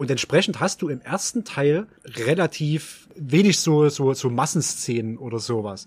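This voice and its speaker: A man with a fairly high, somewhat breathy voice speaks at a fairly slow pace with lively intonation and hardly any pauses. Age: 30s. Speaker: horror film enthusiast. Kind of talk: casual chat.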